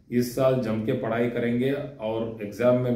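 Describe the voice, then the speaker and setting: A man with a non-native accent talks at medium pitch with ordinary pitch variation. Room echo can be heard. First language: not Hindi (speaking Hindi). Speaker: astrology teacher. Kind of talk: lecture. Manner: halting, with fillers.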